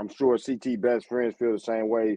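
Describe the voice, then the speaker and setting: Using a plain, everyday voice, a man with an American accent talks at a fairly quick pace, medium pitch and fairly even intonation. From Michigan, Saginaw. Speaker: podcast host. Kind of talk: casual interview livestream. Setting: online livestream.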